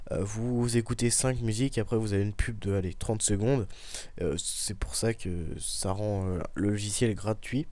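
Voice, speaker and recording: At a fairly slow pace, a man talks with a dark, mellow tone, his fairly low pitch showing ordinary variation. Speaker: tech tutorial youtuber. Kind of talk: tutorial. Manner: hesitant, many filler words.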